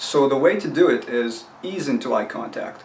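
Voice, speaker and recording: A man's voice, fairly high in pitch and ordinary in its variation, comes through noticeable background noise. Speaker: self-help video host. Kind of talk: tutorial. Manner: casual, conversational.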